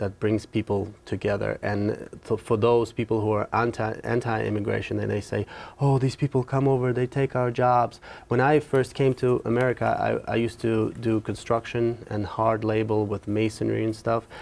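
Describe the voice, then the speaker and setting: Very clean recording, silent background, with a man at medium pitch speaking at a moderate pace in a monotone, flat intonation. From Ukraine. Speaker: university student. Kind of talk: interview. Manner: halting.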